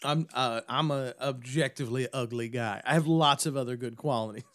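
With a plain, everyday voice, a man speaks at a moderate pace, medium pitch and fairly even intonation. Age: 30s. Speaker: podcast guest. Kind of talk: casual chat.

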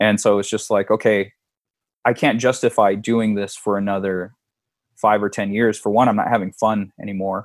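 On a very clean recording with a silent background, a man with a fairly low pitch speaks at a moderate pace in a monotone, flat intonation. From San Diego, California. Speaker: former pro wrestler and comic book artist. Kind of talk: casual interview.

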